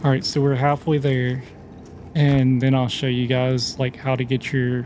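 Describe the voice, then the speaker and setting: A quiet, relaxed male voice at medium pitch, fairly slow in pace. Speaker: gaming YouTuber. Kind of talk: let's play gameplay commentary. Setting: at home, late at night. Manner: casual, relaxed; quiet, keeping voice down.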